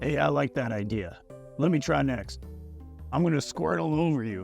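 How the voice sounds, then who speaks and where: Over clear background music, a man uses a cartoonish character voice at a medium pitch and moderate pace, with very wide pitch swings. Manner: brash, enthusiastic.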